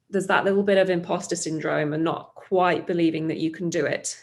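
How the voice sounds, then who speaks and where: A woman with a British accent speaks at a moderate pace, her fairly low pitch held in fairly even intonation. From UK. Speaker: startup founder. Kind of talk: interview.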